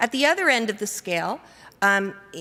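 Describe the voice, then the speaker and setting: Her pitch medium, a woman talks with lively intonation. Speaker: conference workshop presenter. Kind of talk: conference presentation to audience. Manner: fast.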